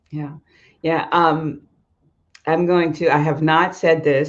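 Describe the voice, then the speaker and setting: Speaking at a fairly slow pace, a woman with an American accent has a fairly low pitch and an ordinary speaking voice. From US, southern New Jersey. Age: 50s. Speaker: YouTube host. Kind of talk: interview. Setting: live stream.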